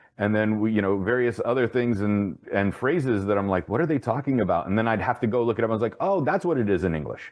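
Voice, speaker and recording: Speaking very fast, a man with an American accent uses a fairly low pitch and ordinary pitch variation. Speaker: podcast host. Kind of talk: interview.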